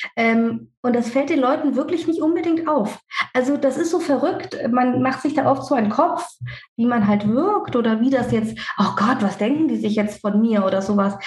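A woman's high pitch at a moderate pace, with very even loudness. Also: lively intonation. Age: 30s. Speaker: dentist and practice owner. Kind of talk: podcast interview. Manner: talkative.

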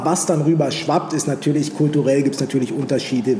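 Room echo is audible. Background noise is noticeable too. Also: man. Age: 30s. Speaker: fashion blogger and former footballer. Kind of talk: casual chat.

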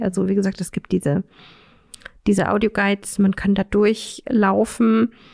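A woman with an ordinary speaking voice talks at a medium pitch with fairly even intonation, in a dry, close sound with no echo. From Saxony-Anhalt, Magdeburg. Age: 30s. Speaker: counselor for blind people. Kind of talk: casual interview.

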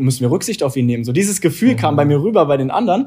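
Somewhat breathy, with a dark, mellow tone, a man speaks at a fairly high pitch with lively intonation. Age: 20s. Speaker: entrepreneur and former handball player. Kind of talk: interview.

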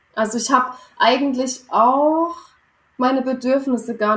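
The woman's voice is pitched high. She keeps a fairly even intonation throughout. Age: 20s. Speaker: former coaching client, early childhood educator. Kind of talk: personal testimony in interview.

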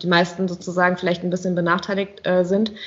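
Her medium-pitched voice stays in a monotone, flat intonation as the woman speaks. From Rheinhessen, Germany. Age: 30s. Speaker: winemaker. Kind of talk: interview. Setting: video call.

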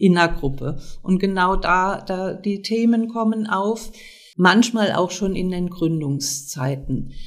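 Her pace very slow, a woman talks at a medium pitch with ordinary pitch variation. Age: 60s. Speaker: social worker and seminar leader. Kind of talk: interview. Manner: hesitant, with fillers.

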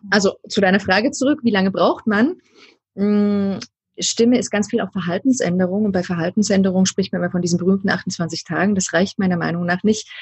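Somewhat breathy, a woman talks at a fairly quick pace. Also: medium pitch for a woman, ordinary pitch variation. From East Germany. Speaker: voice coach. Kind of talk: interview. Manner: hesitant, many filler sounds.

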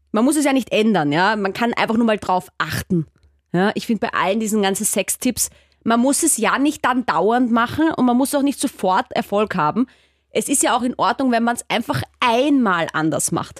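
Recorded very cleanly with a silent background and a dry, close sound with no echo, a woman with a slight Austrian accent speaks at a fairly high pitch with lively intonation. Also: moderate pace. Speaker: sex educator and presenter. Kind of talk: interview.

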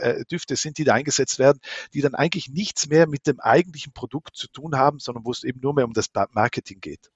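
With a fairly high pitch and ordinary pitch variation, a man talks at a fairly quick pace in a somewhat breathy voice. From South Tyrol, Italy (Meran). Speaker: smell researcher and professor. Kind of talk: interview. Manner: hesitant, many filler sounds.

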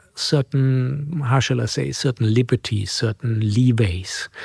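The delivery is very slow and somewhat breathy, with ordinary pitch variation. The sound is dry and close, with no echo. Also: man. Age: 60s. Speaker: financial centre executive and award jury member. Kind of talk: interview. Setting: office. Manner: halting, many fillers and repeats.

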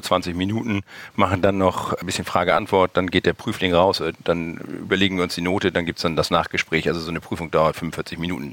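At a fairly quick pace, a man speaks with a very deep, low pitch in a dry, close sound with no echo. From northern Germany (Hamburg). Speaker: e-commerce company founder. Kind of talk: interview.

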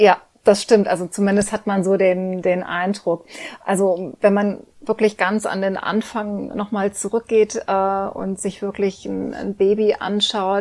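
At a moderate pace, a woman speaks in a medium-pitched voice with monotone, flat intonation. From Germany, Cologne. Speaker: teacher and former actress. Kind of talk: interview.

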